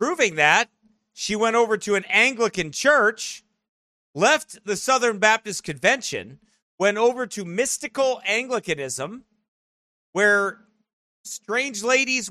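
Speaking at a fairly slow pace, a man raises and projects his high-pitched voice in a bright, sharp, animated tone with ordinary pitch variation and a dry, close sound without echo. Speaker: pastor. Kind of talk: live-streamed preacher commentary, opinionated rant. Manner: animated, opinionated.

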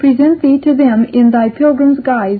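A woman is speaking. Her pace is fairly slow. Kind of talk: audiobook reading of rhymed verse (apology for the book). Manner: measured, rhythmic, sing-song cadence stressing the rhymes; formal, archaic, earnest and gently wry.

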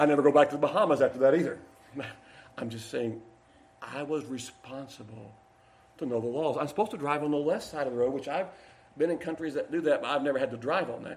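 A man with a fairly high voice and ordinary pitch variation talks at a very fast pace with long, frequent pauses, over noticeable background noise and audible room echo. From Kentucky. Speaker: pastor. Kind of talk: sermon; prayer.

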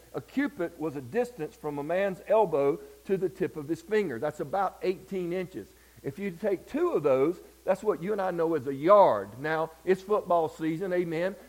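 This man has a high pitch and lively intonation, speaking with a Southern US accent. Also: moderate pace. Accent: Southern US (Georgia). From US South, Georgia. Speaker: preacher. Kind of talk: sermon. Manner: animated.

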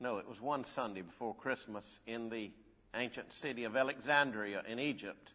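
A man speaks in a plain, everyday voice at medium pitch. His pace is moderate and his pitch varies in an ordinary way. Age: 60s. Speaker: preacher. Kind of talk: sermon. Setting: church.

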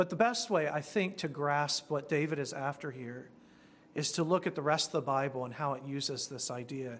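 An unremarkable speaking voice: a man with a fairly high pitch, moderate pace, and ordinary pitch variation. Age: 40s. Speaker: pastor. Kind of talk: sermon.

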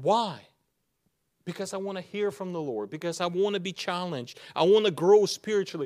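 A man's high-pitched voice with a non-native accent, ordinary pitch variation and big swings in loudness. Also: fairly quick pace. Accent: foreign-accented English. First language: not English. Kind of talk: sermon. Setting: church with congregation. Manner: halting, with grammar slips.

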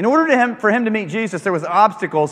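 Over noticeable background noise, a man with an American accent talks at a fairly quick pace in a high voice with very wide pitch swings. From rural Kansas, US. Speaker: preacher. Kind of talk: sermon. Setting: stage with audience. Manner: animated.

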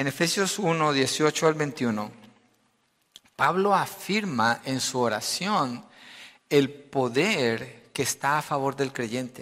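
With a bright, sharp tone and a fairly high pitch, a man speaks at a very slow pace with lively intonation. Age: 50s. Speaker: pastor. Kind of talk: sermon.

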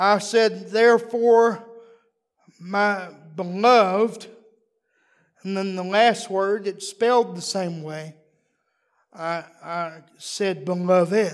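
A man in a Texan accent at a high pitch, with a very slow pace, long, frequent pauses, fairly even intonation and big swings in loudness. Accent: Texan US Southern. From Texas. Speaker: visiting preacher. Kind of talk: sermon. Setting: church.

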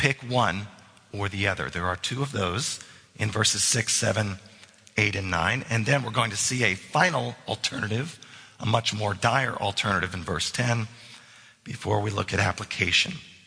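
Male speech at a moderate pace, ordinary in its pitch variation, with background noise noticeable throughout. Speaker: pastor. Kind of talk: sermon. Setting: church.

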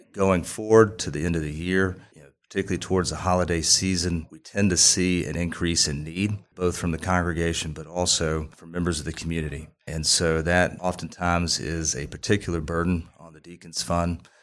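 On a very clean recording with a silent background, a man with an American accent and a very deep, low pitch speaks at a fairly quick pace with hardly any pauses, monotone, flat intonation, and big swings in loudness. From Columbia, South Carolina (US South). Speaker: church deacon. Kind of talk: podcast interview.

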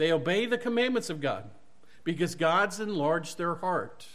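A man's high voice in a Southern US accent, with lively intonation, a fairly slow pace and audible room echo. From US South (Mississippi). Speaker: preacher. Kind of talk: sermon. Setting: church.

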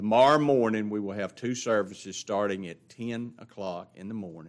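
Here is a man with a Southern US accent and a fairly low pitch, speaking at a moderate pace. His intonation stays fairly even on a very clean recording with a silent background. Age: 60s. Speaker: pastor. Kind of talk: church announcements. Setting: church. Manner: casual.

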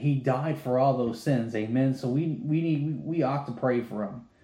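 A man's medium-pitched, dark and mellow voice, somewhat breathy, at a moderate pace with hardly any pauses and ordinary pitch variation, in audible room echo. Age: 30s. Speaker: lay preacher. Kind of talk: bible study.

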